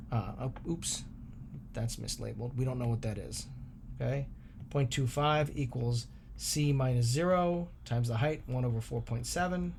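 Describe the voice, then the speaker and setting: A man speaks in a normal speaking voice at medium pitch and a moderate pace, with ordinary pitch variation. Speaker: math teacher. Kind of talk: tutorial.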